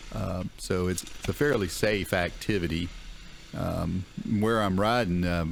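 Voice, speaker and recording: Noticeable background noise sits behind a man's very deep, low voice. His pitch variation is ordinary. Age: 60s. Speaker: dirt bike vlogger. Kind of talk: casual riding commentary. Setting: outdoors riding a dirt bike through woods. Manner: hesitant, many fillers.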